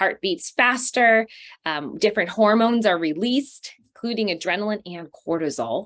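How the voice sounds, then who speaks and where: A woman with an American accent speaks at a moderate pace in a medium pitch, her intonation lively and her loudness swinging widely. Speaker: counselor and trauma therapist. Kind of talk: webinar presentation. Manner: animated.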